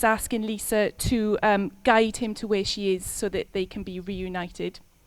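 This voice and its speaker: A woman speaks with a Welsh accent at medium pitch. Her intonation is monotone and flat. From Wales. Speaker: concert musician introducing pieces. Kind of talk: stage introduction to live audience. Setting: live concert with audience. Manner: hesitant, many fillers.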